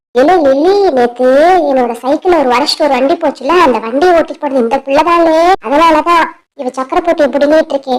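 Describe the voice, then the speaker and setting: A cartoonish character voice, high-pitched, at a moderate pace. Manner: loud, blustering.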